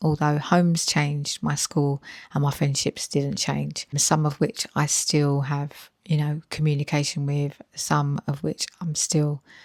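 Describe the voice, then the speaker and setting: With hardly any pauses, a woman talks in a very deep, low voice with monotone, flat intonation. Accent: British. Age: 40s. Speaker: health and weight-loss vlogger. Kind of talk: personal vlog storytelling. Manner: conversational with frequent fillers.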